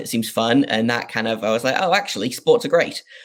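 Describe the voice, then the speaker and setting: A man with a northeast English accent at a medium pitch, in a very clean recording with a silent background. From northeast England. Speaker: sports podcast host. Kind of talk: interview. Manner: casual, hesitant with fillers.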